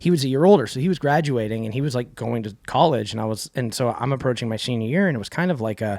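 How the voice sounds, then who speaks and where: A man with an Arizona accent talks at a very fast pace, his intonation lively. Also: medium pitch for a man. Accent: US Southwest (Arizona) American. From Arizona, Phoenix area (Cave Creek/Carefree). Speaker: rock singer and songwriter. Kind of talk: casual interview chat. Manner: fast, filler-heavy with many restarts.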